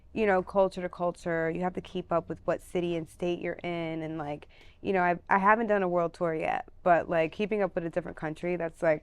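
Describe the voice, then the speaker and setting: With hardly any pauses, a woman speaks at a fairly quick pace and a fairly low pitch with an American accent. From New York, Brooklyn. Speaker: touring musician and performer. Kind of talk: casual interview chat. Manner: animated.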